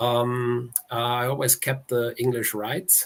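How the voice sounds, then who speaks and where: A man speaks with a German accent at a medium pitch. His voice is somewhat breathy. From Germany. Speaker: author. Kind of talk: interview.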